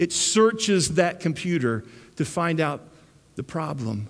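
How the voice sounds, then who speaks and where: A man speaks with a high-pitched voice. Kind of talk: sermon.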